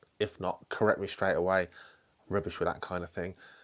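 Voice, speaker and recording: Speaking very fast with a British accent, a man uses a fairly low pitch and fairly even intonation. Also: very clean recording, silent background. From UK. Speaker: falconer and podcast host. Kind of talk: casual interview questions. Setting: indoors at a falconry centre.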